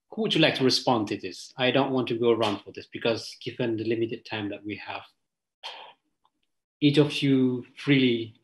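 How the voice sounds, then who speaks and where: A man with an Indonesian accent, somewhat breathy, at medium pitch and a moderate pace, fairly even intonation and long, frequent pauses. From Aceh, Indonesia. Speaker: panel moderator. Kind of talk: panel discussion. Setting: video call. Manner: halting.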